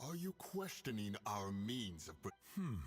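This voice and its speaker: Over clear background noise, a man performs a cartoonish character voice at a medium pitch. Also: moderate pace. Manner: stern, terse.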